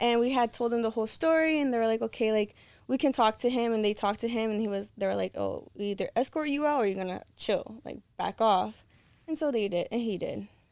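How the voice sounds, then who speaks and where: A woman with an American accent speaks at a very fast pace, her pitch fairly high with ordinary variation. The recording is very clean, with a silent background. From Los Angeles, California. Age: 20s. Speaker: content creator. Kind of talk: casual chat.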